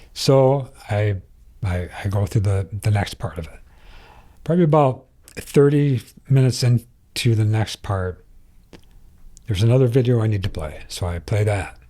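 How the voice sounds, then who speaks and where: With an American accent, this somewhat breathy voice has a dark, mellow tone and lively intonation, moving at a moderate pace with long, frequent pauses. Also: man, medium pitch for a man. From Michigan, Flint. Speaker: retired police officer. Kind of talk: testimony. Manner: halting.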